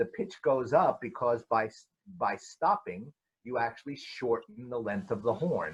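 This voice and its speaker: Somewhat breathy, a man speaks at a medium pitch and a fairly slow pace, with very wide pitch swings. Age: 70s. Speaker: horn teacher and adjudicator. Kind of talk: panel discussion. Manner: halting.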